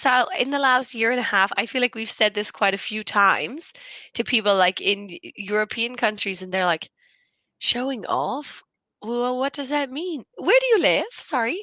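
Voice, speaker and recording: A woman's high, bright, sharp voice with an Irish accent and lively intonation, in a dry, close sound with no echo and a quiet background. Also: moderate pace. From Ireland. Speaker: conversation partner. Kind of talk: casual chat.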